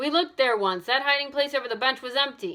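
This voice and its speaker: In a put-on character voice, a woman growls in a gruff, raised, projected voice at a very fast pace, high in pitch with ordinary pitch variation. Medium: read story. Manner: gruff, growling.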